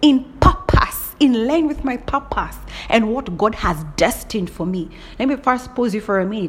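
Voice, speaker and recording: Noticeable background noise sits behind a woman speaking at a moderate pace. Her tone is animated and her intonation lively. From Kenya. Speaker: podcaster. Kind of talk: casual monologue.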